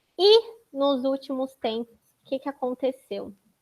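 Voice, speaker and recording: A woman speaks at a moderate pace with a high pitch and a slight Florianópolis accent. The sound is dry and close, with no echo. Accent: slight Florianópolis (manezinho). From Florianópolis, southern Brazil. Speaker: data protection consultant. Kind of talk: panel talk presentation.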